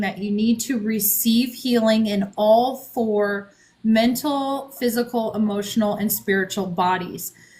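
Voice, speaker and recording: A woman's somewhat breathy voice, fairly high in pitch, at a fairly slow pace with ordinary pitch variation. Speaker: author and spiritual guide. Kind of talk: podcast interview. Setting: live stream.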